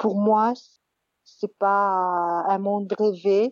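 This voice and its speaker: In a monotone with flat intonation, a woman speaks at medium pitch. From Madagascar. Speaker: interviewee sharing her vision. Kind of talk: personal reflection monologue. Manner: halting, many hesitations and repetitions.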